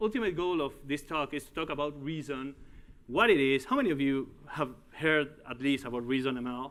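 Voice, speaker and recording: A man with a Uruguayan accent speaks at a moderate pace, his fairly high pitch carrying lively intonation. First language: Spanish. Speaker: tech executive and conference speaker. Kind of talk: conference talk. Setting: stage with audience. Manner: halting.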